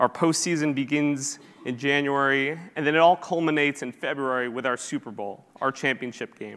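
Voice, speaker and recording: A man with a normal speaking voice, fairly high pitch, fairly even intonation, a moderate pace and hardly any pauses. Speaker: sports league product manager. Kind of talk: conference presentation. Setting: stage with audience.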